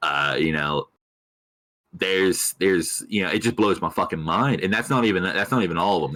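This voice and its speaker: A man with an American accent delivers a very deep, low pitch in a bright, sharp tone, moving at a fairly quick pace with ordinary pitch variation and very even loudness. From Tennessee (Tri-Cities area), partly Broward County, Florida. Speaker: streamer. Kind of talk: casual chat. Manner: halting, many fillers.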